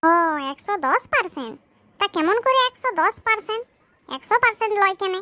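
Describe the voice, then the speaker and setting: An extremely high cartoonish character voice at a moderate pace. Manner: playful.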